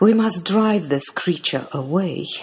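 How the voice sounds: A put-on character voice with a slightly mellow tone, a husky, rough edge, lively intonation and a fairly slow pace. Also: woman, fairly low pitch for a woman.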